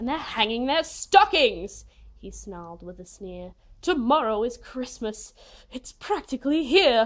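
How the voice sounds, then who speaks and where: In a put-on character voice, a woman growls at a high pitch with very wide pitch swings, keeping a moderate pace. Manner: snarling, sneering.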